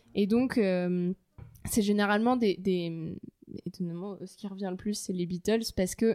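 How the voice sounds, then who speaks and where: Music plays in the background. The voice moves at a fairly slow pace with fairly even intonation. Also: woman, medium pitch for a woman. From France, Paris. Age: 20s. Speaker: fashion brand co-founder and art director. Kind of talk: casual interview. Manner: halting, many repetitions.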